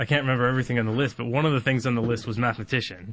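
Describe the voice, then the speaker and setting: A man's medium-pitched voice with fairly even intonation over a quiet background. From Canada. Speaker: mathematics lecturer. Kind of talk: casual interview chat.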